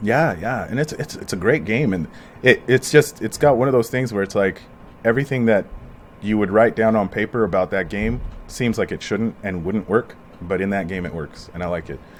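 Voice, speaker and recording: A man with an American accent talks fairly quickly in a plain, everyday voice, fairly low in pitch with ordinary pitch variation. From US. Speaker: podcast host. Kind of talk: casual chat. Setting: at home.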